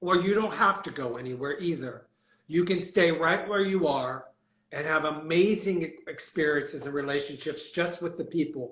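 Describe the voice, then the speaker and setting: At a moderate pace, a man with an American accent speaks in a fairly high voice with ordinary pitch variation. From US Northeast (Pennsylvania). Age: 60s. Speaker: celebrity hairstylist. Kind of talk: interview. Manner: animated.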